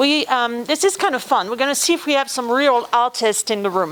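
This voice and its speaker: Speaking with a French accent at a fairly quick pace, the voice carries lively intonation over noticeable background noise. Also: woman. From France. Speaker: former theme park executive turned consultant and speaker. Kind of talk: guest talk to university class.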